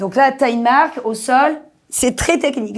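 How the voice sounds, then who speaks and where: On a very clean recording with a silent background, a woman with a high pitch and an animated tone talks at a moderate pace with ordinary pitch variation. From Marseille, southern France. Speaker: actress. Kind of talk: podcast interview.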